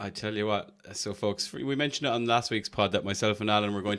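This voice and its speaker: Talking at a very fast pace, a man with an Irish accent has a fairly low pitch. The recording is very clean with a silent background. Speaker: podcast host. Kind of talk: casual chat.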